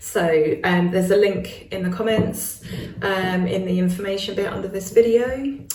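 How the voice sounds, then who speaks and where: A woman with a British accent speaks amid noticeable background noise and audible room echo. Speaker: witchcraft YouTuber. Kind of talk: casual chat to camera.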